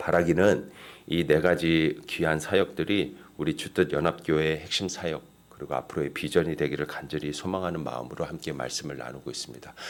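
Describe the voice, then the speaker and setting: On a very clean recording with a silent background, a man speaks at a fairly quick pace. His very deep, low pitch carries vocal fry and ordinary pitch variation. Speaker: pastor. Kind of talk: sermon. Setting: church.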